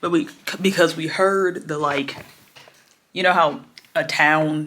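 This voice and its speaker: Her pitch moves in an ordinary way. The woman talks fairly slowly. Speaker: vlogger. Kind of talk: casual vlog chat. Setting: home office, self-filmed. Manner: chatty, casual.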